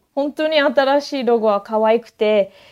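A woman speaks with ordinary pitch variation, and the background stays quiet. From Queensland, Australia (Toowoomba). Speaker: koala sanctuary worker. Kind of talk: interview. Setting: online call. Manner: hesitant, many fillers.

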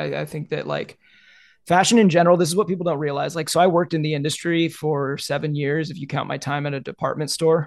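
A man speaks at a very fast pace, his pitch fairly high for a man. His intonation is fairly even, over a quiet background. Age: 30s. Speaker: social media fashion creator. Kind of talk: casual interview chat.

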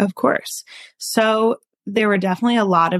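With a very clean recording, a silent background and a dry, close sound with no echo, a woman uses an ordinary speaking voice at a moderate pace and fairly even intonation. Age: 20s. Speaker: recent college graduate with food allergies. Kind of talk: interview.

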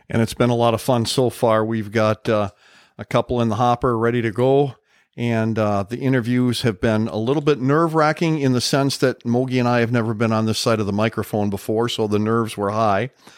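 Speaking with an Upper Midwest US accent, a man at medium pitch talks at a fairly quick pace with fairly even intonation. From Upper Peninsula of Michigan and Wisconsin. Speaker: retired police officer, podcast host. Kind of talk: casual chat.

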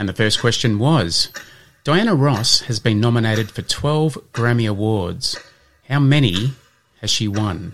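With an unremarkable speaking voice, a man talks at a fairly slow pace, his medium pitch showing ordinary variation. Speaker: podcast host. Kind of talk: scripted educational podcast with quiz.

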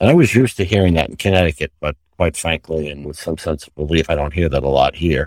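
Speaking with an American accent at a very fast pace with hardly any pauses, a man uses a very deep, low pitch with vocal fry and big swings in loudness. The recording is very clean with a silent background, and the sound is dry and close with no echo. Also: ordinary pitch variation. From New York City. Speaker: retired healthcare executive. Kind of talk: interview.

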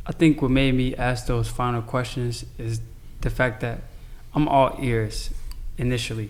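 Audible room echo surrounds a man with an American accent. He talks at a fairly slow pace with long, frequent pauses. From Chicago, US. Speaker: convert to Islam. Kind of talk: casual chat.

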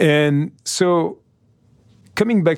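Here a man speaks with a French accent and ordinary pitch variation. The recording is very clean, with a silent background. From France, Nice. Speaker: podcast host, business executive. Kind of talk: scripted narration; interview.

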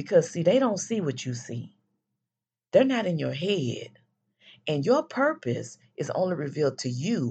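Against a quiet background, a woman's speech moves at a moderate pace. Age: 50s. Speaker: podcast host. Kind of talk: solo faith-based motivational talk.

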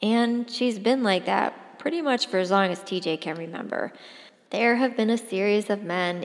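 The pitch varies in an ordinary way while someone is reading aloud in a natural voice.

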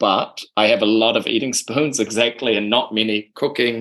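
A speaker with a New Zealand accent and fairly even intonation. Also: man. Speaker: podcast host. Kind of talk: casual chat.

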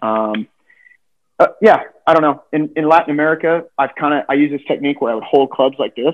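An ordinary speaking voice from a man, fairly high in pitch, with ordinary pitch variation and a fairly quick pace. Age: 30s. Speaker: professional golfer. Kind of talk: casual chat.

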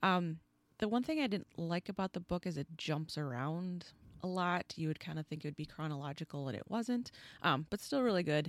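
On a very clean recording with a silent background and a dry, close sound with no echo, a woman with a plain, everyday voice speaks fairly quickly at a fairly low pitch, her intonation lively. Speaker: guest co-discussing the case.

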